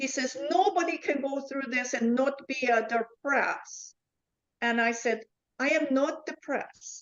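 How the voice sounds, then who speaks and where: A woman speaks very slowly at a high pitch. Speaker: stroke survivor. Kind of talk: interview answer.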